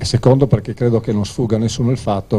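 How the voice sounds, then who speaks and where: A man talks with fairly even intonation while noticeable background noise plays behind him. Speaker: city mayor. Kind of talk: formal speech. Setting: press conference. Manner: formal.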